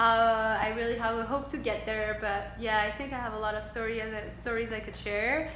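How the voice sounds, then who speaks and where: A woman with a French accent, fairly high-pitched and monotone with flat intonation, at a moderate pace, with audible room echo and noticeable background noise. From Tunisia and Switzerland (French-speaking). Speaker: yoga instructor. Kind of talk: interview conversation. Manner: halting.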